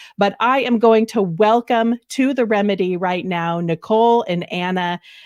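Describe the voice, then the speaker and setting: In a dry, close sound with no echo, a woman with an American accent uses a normal speaking voice at a medium pitch, moderate pace and ordinary pitch variation. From US Pacific Northwest. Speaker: talk show host. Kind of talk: live interview show.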